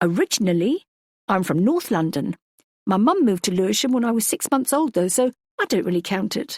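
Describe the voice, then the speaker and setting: A woman uses a strained, put-on character voice at a fairly high pitch, moving quickly with very wide pitch swings while her loudness stays very even. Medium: read story. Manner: careful, restrained politeness.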